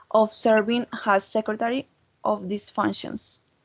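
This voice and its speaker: The speaker has a Colombian accent and talks at a fairly slow pace. The sound is dry and close, with no echo. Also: woman. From Colombia, Santander. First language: Spanish. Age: 20s. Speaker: foreign language student. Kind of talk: mock job interview. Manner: halting.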